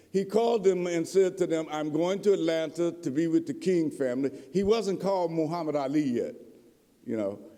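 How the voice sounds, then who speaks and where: A man with an American accent speaks at a fairly quick pace and a high pitch, in an animated tone with lively intonation. Audible room echo is present. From Appalachian Kentucky (Harlan County coal country). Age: 70s. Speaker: professor and author. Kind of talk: lecture.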